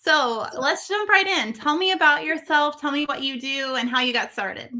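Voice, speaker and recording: A woman speaks in a raised, projected voice at a high pitch. Her tone is bright and sharp. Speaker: podcast host, branding coach. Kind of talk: podcast interview host.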